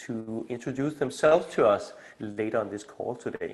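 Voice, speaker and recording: Here a man speaks in a Danish accent at a moderate pace. His pitch shows ordinary variation. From Denmark. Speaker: community initiator and coach. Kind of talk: video call community meeting presentation. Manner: halting, many fillers.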